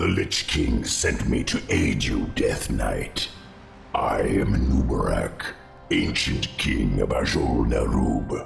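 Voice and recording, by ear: A man puts on a character voice with extremely low pitch, vocal fry, and lively intonation. He talks slowly while faint music plays in the background.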